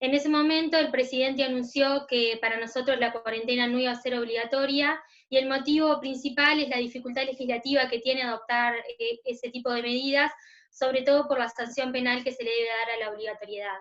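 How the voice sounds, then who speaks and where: A woman speaks in a high pitch with flat, monotone intonation. Music runs in the background. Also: fairly quick pace. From Uruguay. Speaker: notary, commission coordinator. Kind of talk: virtual panel presentation.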